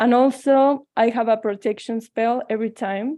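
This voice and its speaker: A woman with a Mexican accent speaks at a fairly slow pace, with a fairly high pitch, fairly even intonation and a dark, mellow tone. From Mexico. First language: Spanish. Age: 20s. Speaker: tarot reader. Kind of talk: online presentation. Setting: video call.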